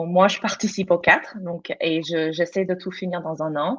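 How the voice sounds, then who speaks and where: Against a quiet background, a woman with a non-native accent speaks at a fairly slow pace and medium pitch with fairly even intonation. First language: not French (speaking French). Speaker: teacher and student in teacher training. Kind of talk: testimony in live panel. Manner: halting, many repetitions and fillers.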